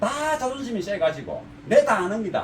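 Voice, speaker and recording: A man speaks at a moderate pace with a strong Gyeongsang accent and very wide pitch swings. Noticeable background noise runs underneath. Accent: thick Gyeongsang dialect. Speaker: car audio installer, shop owner. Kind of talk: casual talk to camera. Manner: unpolished, plain-spoken; halting, stammers.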